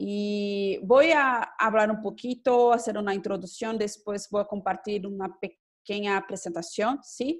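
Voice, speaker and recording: A woman speaks at a very slow pace. Her pitch is medium, and her intonation stays fairly even. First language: Portuguese (speaking Spanish). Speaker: government official and law professor. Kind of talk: conference presentation. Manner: halting, many hesitations.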